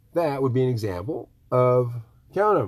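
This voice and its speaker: Here is a man with an American accent and a medium pitch. His voice is somewhat breathy, and the recording is very clean with a silent background. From Michigan. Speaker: tiny house builder. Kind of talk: casual live stream talk. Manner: rambling casual.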